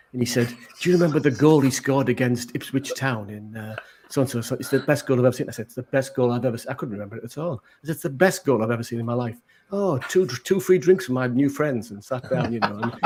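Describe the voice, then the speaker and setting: A man with a Teesside accent talks at a very fast pace in a medium pitch, somewhat breathy, with ordinary pitch variation and big swings in loudness. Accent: Middlesbrough (Teesside) accent, recognisable. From northern England, Middlesbrough. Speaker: maker. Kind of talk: casual chat.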